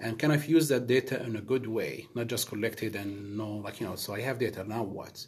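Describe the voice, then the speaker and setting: Somewhat breathy and medium in pitch, a man speaks with an Arabic accent at a fairly quick pace, with hardly any pauses and ordinary pitch variation. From Middle East. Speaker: project manager. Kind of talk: casual interview chat.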